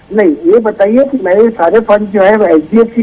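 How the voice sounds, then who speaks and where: A high-pitched man speaks over noticeable background noise. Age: 60s. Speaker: retired caller. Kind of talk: phone-in question. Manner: halting.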